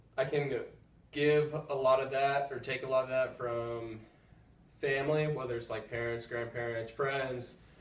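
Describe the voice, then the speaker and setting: A man with a medium pitch speaks with ordinary pitch variation, with audible room echo and noticeable background noise. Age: 20s. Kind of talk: casual chat. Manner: calm.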